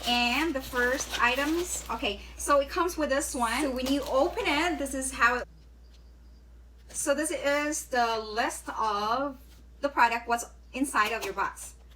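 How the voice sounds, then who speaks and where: A woman with a strong non-native accent projects a raised, high-pitched voice at a fairly slow pace, with ordinary pitch variation and noticeable background noise. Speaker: beauty vlogger. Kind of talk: unboxing video. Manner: casual, hesitant with fillers.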